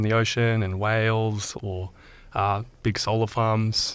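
In an Australian accent, a man speaks with monotone, flat intonation at a fairly low pitch, in a very clean recording with a silent background. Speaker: podcast host. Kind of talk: interview. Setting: studio.

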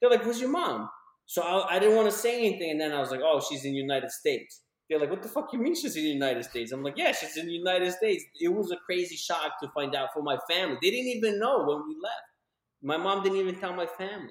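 In an American accent, a man with a high pitch talks at a very fast pace, his tone animated and his pitch swinging very widely. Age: 30s. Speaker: podcast co-host. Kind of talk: casual chat. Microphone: echo in room.

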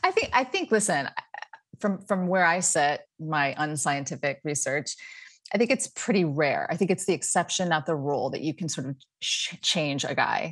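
Over a quiet background, a woman with a plain, everyday voice speaks at a fairly low pitch, with lively intonation and a moderate pace. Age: 50s. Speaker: dating coach. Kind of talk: casual chat.

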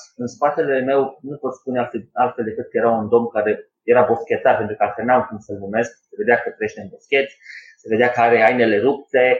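A man talks at a moderate pace and a medium pitch. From Romania, Sibiu. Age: 20s. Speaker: former gymnast and lifestyle coach. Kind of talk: casual interview. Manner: halting.

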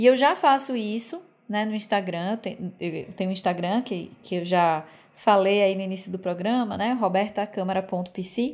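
At a fairly slow pace, an ordinary speaking voice carries ordinary pitch variation. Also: woman, medium pitch for a woman. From Brazil, Aracaju, Sergipe. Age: 30s. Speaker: podcast host, psychologist. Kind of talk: casual monologue.

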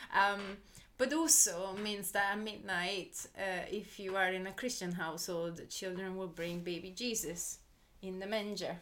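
A woman with an Italian accent talks at a fairly slow pace, with audible room echo. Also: medium pitch for a woman, ordinary pitch variation. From southern Italy, Molise. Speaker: creative producer. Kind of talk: casual interview. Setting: in person recording.

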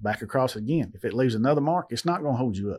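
A man with a Southern US accent. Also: quiet background. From western Tennessee. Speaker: owner-operator truck driver. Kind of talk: casual interview. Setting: studio.

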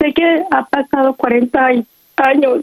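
This woman's high-pitched voice comes across dry and close, with no echo. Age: 40s. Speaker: radio caller. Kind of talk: personal testimony on call-in show.

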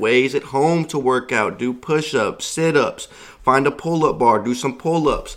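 Using an ordinary speaking voice, a man speaks at a fairly slow pace and fairly high pitch with ordinary pitch variation. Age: 20s. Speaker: podcast host. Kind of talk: solo motivational monologue.

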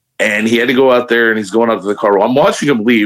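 A man with a medium pitch speaks in an American accent. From Chicago area, Hammond. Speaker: beard club member. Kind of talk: casual chat.

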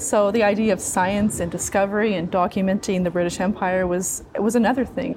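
A woman speaks at a fairly quick pace with hardly any pauses, her pitch medium and her intonation fairly even. Noticeable background noise runs under her voice. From Newfoundland. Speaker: museum curator and archaeologist. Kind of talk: interview. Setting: museum exhibit hall.

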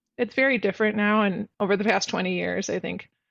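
A woman's medium-pitched voice with an American accent and monotone, flat intonation over a quiet background. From Chicago area, US. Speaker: bilingual speech-language pathologist, practice owner. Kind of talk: interview, professional discussion.

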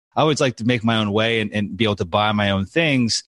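A man with an unremarkable speaking voice, at a fairly quick pace with ordinary pitch variation, against a quiet background. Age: 40s. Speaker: real estate investor. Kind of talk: interview.

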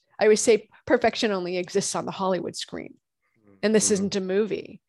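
A woman with a plain, everyday voice, medium pitch, fairly even intonation and a fairly quick pace, in a dry, close sound with no echo and a quiet background. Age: 50s. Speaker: functional medicine gynecologist. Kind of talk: interview.

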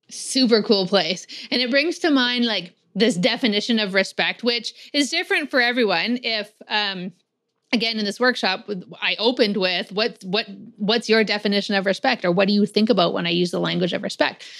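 A woman's fairly high voice at a moderate pace, an unremarkable speaking voice with ordinary pitch variation. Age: 40s. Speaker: podcast host, workplace mental health consultant. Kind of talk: casual interview chat; scripted intro.

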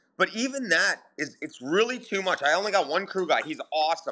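A man with an Ontario accent talks at a fairly quick pace, his bright, sharp tone carried by lively intonation on a very clean recording with a silent background. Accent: Canadian (Ontario). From southern Ontario, Canada. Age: 40s. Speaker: sprint car driver and chassis builder. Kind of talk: casual interview.

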